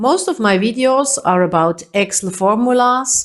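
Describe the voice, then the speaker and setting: A woman with a German accent, fairly high in pitch and fairly slow, with lively intonation against a quiet background. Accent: non-native English, German-speaking. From Switzerland. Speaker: Excel trainer. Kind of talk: tutorial.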